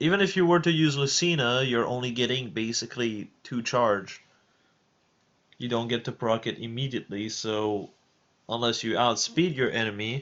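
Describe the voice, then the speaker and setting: This man speaks with a French accent at a medium pitch. His pace is moderate and his pitch varies in an ordinary way. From France. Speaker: streamer. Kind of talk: live stream chat. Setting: live stream with voice chat. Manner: halting.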